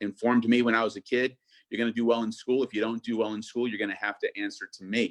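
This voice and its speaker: The sound is dry and close, without any echo. A man speaks very fast. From US, born to Argentine immigrant parents. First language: Spanish. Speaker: state senator. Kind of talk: interview.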